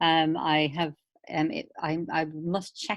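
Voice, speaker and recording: Against a quiet background, a woman talks in a very deep, low voice with flat, monotone intonation, the sound dry and close with no echo. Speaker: paediatric infectious diseases consultant. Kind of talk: online teaching session Q&A. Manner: fast.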